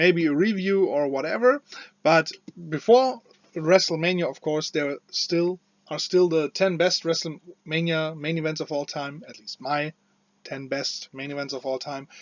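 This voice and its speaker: Speaking with a non-native accent at a moderate pace, a man has a fairly high pitch and big swings in loudness. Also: ordinary pitch variation. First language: not English. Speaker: wrestling commentator / video creator. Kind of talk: casual opinion commentary. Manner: halting, many fillers and restarts.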